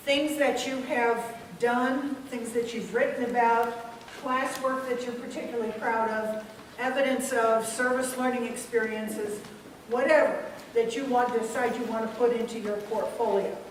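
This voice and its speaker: A high-pitched woman at a moderate pace in a monotone, flat intonation, with audible room echo and noticeable background noise. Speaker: university IT staff presenter. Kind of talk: presentation to students. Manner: hesitant, many fillers.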